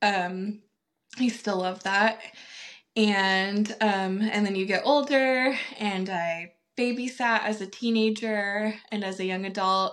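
A woman talks at a very slow pace. Her medium-pitched voice holds a fairly even intonation. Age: 30s. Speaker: preschool director. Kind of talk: casual interview chat. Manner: halting, many fillers.

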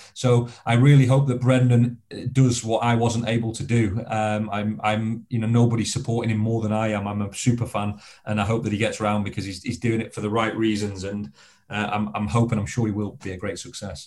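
The pitch of this man's voice is medium. He moves along at a fairly quick pace, keeping his intonation fairly even. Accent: Lancashire. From northern England, Blackpool, Lancashire. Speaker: former soldier and extreme adventurer. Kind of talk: interview conversation.

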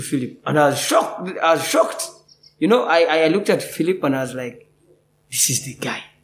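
The man talks fairly quickly at a fairly high pitch with lively intonation. Room echo is audible. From Uganda. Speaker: actor. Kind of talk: interview. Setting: theatre.

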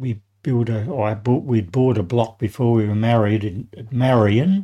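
Talking at a fairly slow pace, a man with an Australian accent has a medium pitch, a dark, mellow tone and ordinary pitch variation. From Adelaide, South Australia. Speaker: retired tradesman and grandfather. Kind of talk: interview, life stories. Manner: halting.

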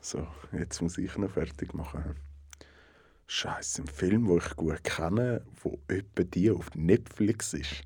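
A man's very deep, low voice carries a Swiss accent and a somewhat breathy quality. He talks at a very slow pace with ordinary pitch variation. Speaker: podcast co-host. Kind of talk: casual chat.

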